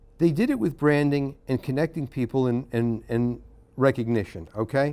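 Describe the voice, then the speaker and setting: With a dark, mellow tone, a man talks at a moderate pace at medium pitch with ordinary pitch variation. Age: 60s. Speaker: conference speaker, retired researcher. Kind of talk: conference talk. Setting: conference with audience. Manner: halting, frequent fillers and restarts.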